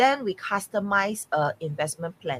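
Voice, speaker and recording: A somewhat breathy woman's voice with ordinary pitch variation and a dry, close sound with no echo. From Singapore. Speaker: real estate mentor. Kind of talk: podcast interview. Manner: hesitant, many fillers.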